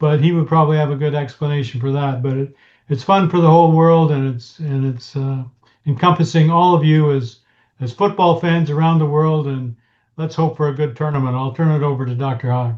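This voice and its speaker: With a Canadian accent, a man talks at a fairly quick pace in a fairly high, somewhat breathy voice with fairly even intonation. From Canada. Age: 60s. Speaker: talk show co-host. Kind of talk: casual chat. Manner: halting, many fillers.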